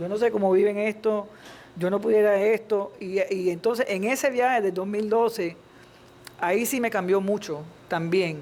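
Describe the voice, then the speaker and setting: A woman with a plain, everyday voice talks at a medium pitch and a moderate pace, with ordinary pitch variation. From Miami, raised by Cuban-born parents. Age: 50s. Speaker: panelist. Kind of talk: panel discussion.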